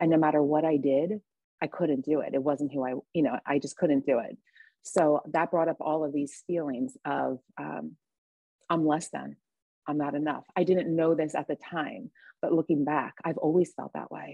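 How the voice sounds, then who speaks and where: Low, very deep pitch and vocal fry mark this woman's voice, which moves at a moderate pace with fairly even intonation. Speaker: recovering alcoholic and mother. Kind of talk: casual chat; testimony.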